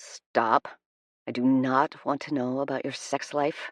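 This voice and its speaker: A man uses a put-on character voice that rumbles, at a medium pitch. His intonation is monotone and flat, and his pace is fairly slow. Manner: grumbling, annoyed.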